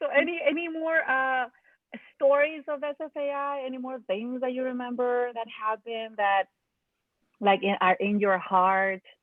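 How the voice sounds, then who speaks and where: A woman with a Mexican accent talks at a moderate pace in a high pitch, her intonation lively. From Mexico. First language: Spanish. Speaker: alumni group host, artist. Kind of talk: casual chat. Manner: animated.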